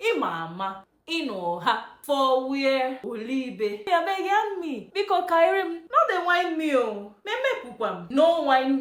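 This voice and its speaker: A woman with a high voice swings her pitch very widely in a playful, dramatic tone. She speaks very slowly, with hardly any pauses. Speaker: dialect teacher. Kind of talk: casual language lesson to camera.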